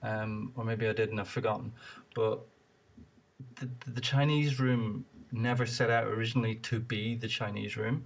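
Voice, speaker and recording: Pausing long and often, a man talks at medium pitch in a somewhat breathy voice. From Ireland. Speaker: podcast host. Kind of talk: casual interview.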